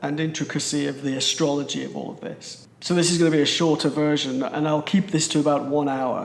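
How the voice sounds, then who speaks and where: Here is a man with a British accent. His pitch is fairly high and his intonation fairly even. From Britain. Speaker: astrologer. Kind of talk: presentation.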